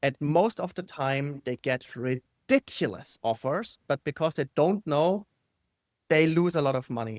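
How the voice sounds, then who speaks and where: In a very clean recording with a silent background and a dry, close sound with no echo, a man with a non-native accent speaks at a fairly slow pace, his pitch fairly high and his intonation lively. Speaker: marketing copywriter. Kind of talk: podcast interview. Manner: animated.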